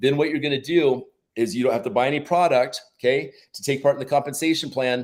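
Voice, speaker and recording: This man's pitch is fairly high. He talks at a fairly quick speed. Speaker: product promoter. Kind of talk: sales pitch. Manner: fast; animated.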